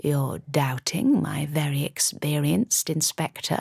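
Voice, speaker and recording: A gruff, put-on character voice sits at a low-to-middle pitch. It moves at a fairly slow pace with a calm tone. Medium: read story. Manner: calm, edged with steel.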